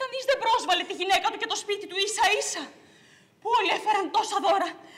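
The reading voice is unforced, and its pitch varies an ordinary amount.

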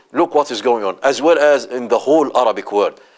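Against a quiet backdrop, a man is talking. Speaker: religious teacher. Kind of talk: lecture. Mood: earnest, impassioned. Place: studio. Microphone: lapel.

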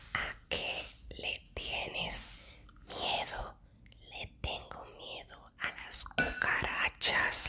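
The voice is whispering. The pace is very slow. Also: woman. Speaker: ASMR creator. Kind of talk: ASMR whisper-style talk to camera. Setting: close-mic ASMR recording. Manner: soft, intimate, whispered. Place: home room.

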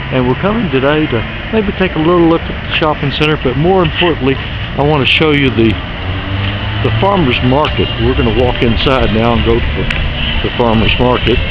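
The voice moves at a fairly quick pace over music in the background, with a dry sound and no echo. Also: man. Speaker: guide. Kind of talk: casual walking tour commentary. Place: market. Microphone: phone near.

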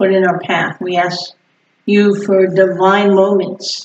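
With light background noise and audible room echo, a woman talks with fairly even intonation. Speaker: pastor leading prayer. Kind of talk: prayer. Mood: earnest, calm. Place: church.

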